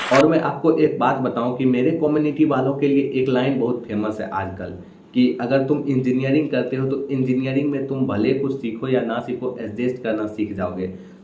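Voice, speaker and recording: The speech runs on with hardly any pauses. Noticeable background noise sits behind it. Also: man, medium pitch for a man, ordinary pitch variation. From Samastipur, Bihar, India. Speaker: stand-up comedian. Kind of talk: stand-up comedy set.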